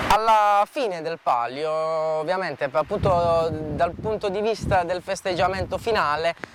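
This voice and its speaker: Noticeable background noise accompanies a man who talks at a moderate pace in a fairly high pitch. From Puglia, southern Italy (Palo del Colle near Bari). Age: 20s. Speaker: trainee surveyor, local event volunteer. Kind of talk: on-camera interview. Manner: halting, many fillers.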